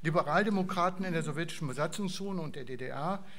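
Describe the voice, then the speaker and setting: High male voice with ordinary variation in pitch. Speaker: foundation chairman. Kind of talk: welcome speech at event. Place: hall.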